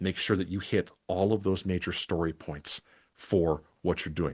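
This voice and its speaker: At a fairly slow pace and with a Wisconsin accent, a man speaks in a very deep, low pitch over a quiet background. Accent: Midwestern, Wisconsin idioms. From Wisconsin, Milwaukee (US Midwest). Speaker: podcasting coach and webinar presenter. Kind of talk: scripted webinar presentation. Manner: conversational, natural read.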